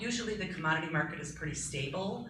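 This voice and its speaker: With an American accent, a woman speaks over noticeable background noise and audible room echo. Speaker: school food service director. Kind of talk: board meeting report. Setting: school board meeting room. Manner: loud.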